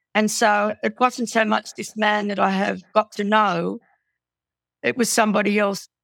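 On a very clean recording with a silent background and a dry, close sound with no echo, a woman with an Australian accent speaks at medium pitch and a moderate pace in a monotone, flat intonation. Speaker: domestic violence survivor and author. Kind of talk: testimony.

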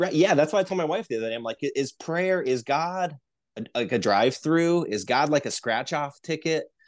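In an American accent, a plain, everyday voice with lively intonation moves at a moderate pace against a quiet background. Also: man, fairly high pitch for a man. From US Midwest, Northeast Ohio. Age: 30s. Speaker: conspiracy researcher. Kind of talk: casual chat.

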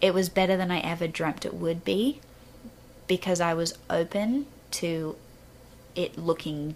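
A woman talks with an Australian accent. Her pitch is fairly low. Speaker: podcast guest.

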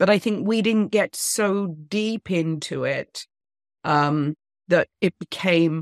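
A woman with a British accent, ordinary pitch variation, and a quiet background. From England. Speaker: author and women's empowerment speaker. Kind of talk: interview.

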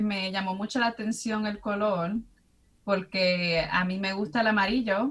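This is an unremarkable speaking voice, moving fairly slowly and showing ordinary variation in pitch. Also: woman. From US Midwest, Chicago (Dominican family). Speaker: university professor. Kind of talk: casual interview chat.

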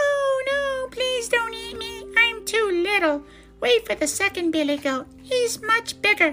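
A woman's squeaky, put-on character voice, extremely high in pitch with a bright, sharp tone, at a fairly slow pace over faint background music. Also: ordinary pitch variation.

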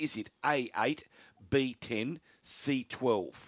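A man with an Australian accent talks at a medium pitch, the sound dry and close with no echo on a very clean recording over a silent background. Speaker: radio host. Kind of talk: radio sports talk show, live broadcast. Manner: animated, conversational, laughs easily.

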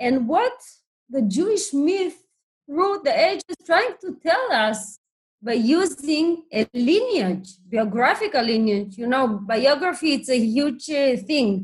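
A woman with a high pitch, very wide pitch swings, and a very slow pace. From Soviet Union (refusenik family). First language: Hebrew or Russian. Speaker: professor and author. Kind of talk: academic interview. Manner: halting, with many fillers.

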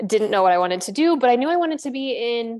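A woman speaks with a Midwestern American accent. The background is quiet. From US Midwest, central Illinois. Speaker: yoga studio director. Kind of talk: interview.

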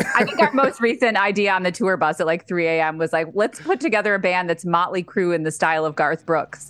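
Over background music, a woman talks at a very fast pace with hardly any pauses, her medium-pitched voice lively in intonation and very even in loudness. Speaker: musician and podcast co-host. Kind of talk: casual interview chat.

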